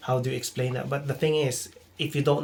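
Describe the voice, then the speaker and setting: Here a man speaks fairly fast, at a fairly high pitch, with a non-native accent. His voice comes across as somewhat breathy. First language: not English. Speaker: nursing student. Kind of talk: casual chat. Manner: halting, repeats words.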